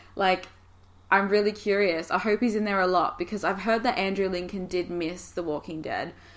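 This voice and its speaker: At a moderate pace, a woman talks with a slight Australian accent. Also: medium pitch for a woman. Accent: mild Australian. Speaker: YouTuber. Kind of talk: casual monologue. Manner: animated.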